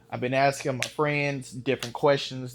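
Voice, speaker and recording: This man speaks at a fairly high pitch with a Southern US accent. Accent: country (Southern US). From Texas, Dallas. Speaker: firearms YouTuber, beginner shooter. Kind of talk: casual vlog chat. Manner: casual, hesitant with fillers.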